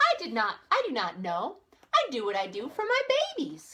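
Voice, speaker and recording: A woman's put-on character voice, high in pitch, at a moderate pace. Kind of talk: bedtime story. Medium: read story. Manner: warm, fussy.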